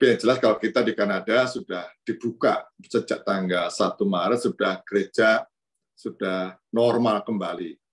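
Moderately paced male speech over a quiet background. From Indonesia (Pringsewu, Lampung); Indonesia. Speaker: priest giving a reflection. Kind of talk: sermon. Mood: warm, smiling, relaxed. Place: office. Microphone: video call.

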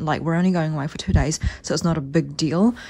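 Noticeable background noise sits under the recording. A woman speaks in a fairly low pitch. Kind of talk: casual vlog chat. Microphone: phone near.

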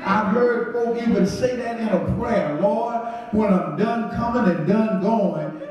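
A man talks at a fairly slow pace over loud background noise, with audible echo in the room. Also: ordinary pitch variation. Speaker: pastor. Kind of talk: sermon. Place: church.

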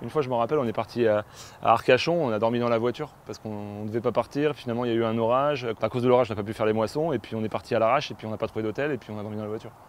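Over light background noise, a man speaks at a very fast pace. His intonation is fairly even, and the sound is dry with no echo. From western France, Poitou; western France. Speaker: film director. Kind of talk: personal testimony interview. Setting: on location at family farm. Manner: halting, with many hesitations. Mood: reflective, personal. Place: farm machine.

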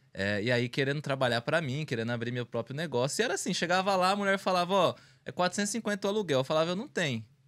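Talking at a very fast pace with hardly any pauses, a man with a fairly high pitch makes very wide pitch swings. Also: quiet background. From Brazil, Carapicuíba, São Paulo. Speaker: small business owner, bag manufacturer. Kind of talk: casual interview. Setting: studio livestream. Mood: relaxed, reflective. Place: studio. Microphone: studio mic.

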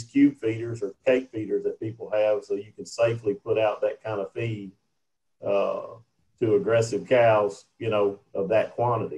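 A man's somewhat breathy, medium-pitched voice with fairly even intonation. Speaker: extension specialist in cattle feeding. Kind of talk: Q&A discussion. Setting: video call.

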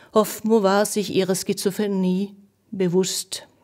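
In a Norwegian accent, a woman with a medium-pitched voice speaks at a very slow pace. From Norway. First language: Norwegian (speaking German). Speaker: poet and translator. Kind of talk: essayistic introduction and poetry reading.

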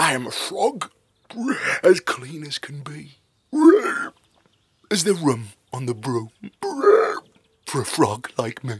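In a put-on character voice, a man speaks croakily at a medium pitch and a fairly slow pace, with long, frequent pauses.

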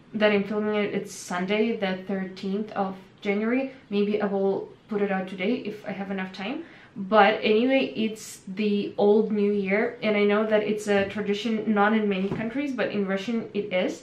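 Amid audible room echo, a woman speaks at a moderate pace with fairly even intonation. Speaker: vlogger. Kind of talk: casual vlog chat. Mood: calm, reflective. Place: home room.

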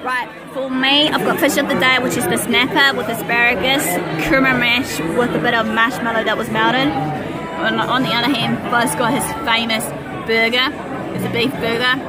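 Clear music plays behind a woman speaking at a moderate pace, the sound dry with no echo. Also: ordinary pitch variation. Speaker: vlogger. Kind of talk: casual vlog chat. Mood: cheerful, relaxed. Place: bar. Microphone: phone near.

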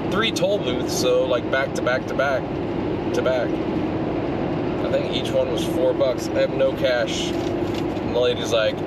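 A man at a fairly slow pace, long, frequent pauses, loud background noise, and a dry sound with no echo. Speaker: camping vlogger. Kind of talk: casual vlog chat. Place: car. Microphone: camera far.

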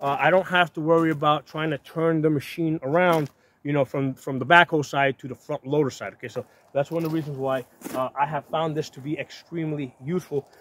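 A man at a fairly quick pace with fairly even intonation, dry sound with no echo, and light background noise. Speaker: tractor owner. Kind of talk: casual explanatory vlog talk. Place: open country. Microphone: phone near.

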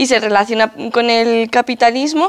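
A woman's ordinary speaking voice, fairly high in pitch, at a moderate pace with ordinary pitch variation against a quiet background. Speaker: activist and lecturer; lecturer. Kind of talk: lecture. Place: hall.

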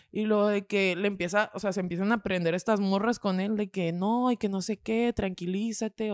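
Over a quiet background, a woman speaks at a moderate pace with fairly even intonation, and the sound is dry with no echo. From Mexico. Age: 20s. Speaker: podcaster. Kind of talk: casual chat. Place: studio. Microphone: studio mic.

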